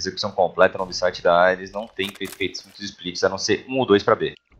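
A man with a Brazilian accent speaks at a fairly quick pace. His fairly low voice keeps a fairly even intonation. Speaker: color commentator analyst. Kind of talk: analytical esports commentary.

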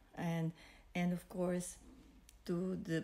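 A somewhat breathy voice with a dark, mellow tone goes at a very slow pace. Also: woman. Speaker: vlogger. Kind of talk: casual vlog chat. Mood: warm, grateful, smiling. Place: home room. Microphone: phone near.

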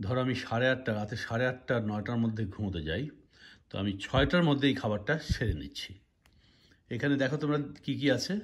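A man at a medium pitch speaks with lively intonation. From Bangladesh. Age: 60s. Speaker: YouTuber. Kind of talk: vlog tutorial. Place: home room. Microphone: phone near.

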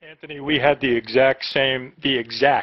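The delivery comes in a normal speaking voice, moving at a moderate pace with fairly even intonation. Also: man. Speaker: professor. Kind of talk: class moderation. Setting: video call.

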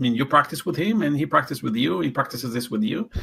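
A man's fairly high voice with vocal fry and very wide pitch swings, on a very clean recording with a silent background. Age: 60s. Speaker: talent development coach. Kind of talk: interview. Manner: halting with many fillers.

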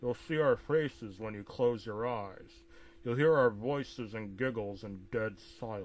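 The passage comes in an unforced reading voice.

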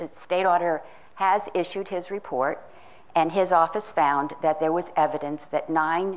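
Speaking slowly, a woman with an unremarkable speaking voice keeps a fairly low pitch and fairly even intonation. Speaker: education data expert. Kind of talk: presentation. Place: hall. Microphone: handheld.

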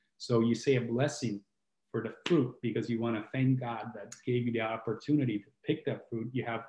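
Somewhat breathy and dark, mellow in tone, the voice holds a fairly even intonation amid audible room echo and light background noise. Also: man, fairly quick pace. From southern Italy, Puglia (Brindisi); Puglia, Italy. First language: Italian. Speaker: healing coach and musician, co-host; healing coach, co-host. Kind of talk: casual chat. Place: home room.

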